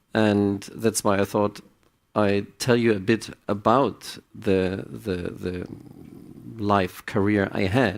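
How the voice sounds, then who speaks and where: In a German accent, a man speaks at a very slow pace and a fairly low pitch. His intonation is monotone and flat, and the recording is very clean with a silent background. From Germany. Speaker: psychiatrist. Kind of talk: conference talk. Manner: halting, with repetitions.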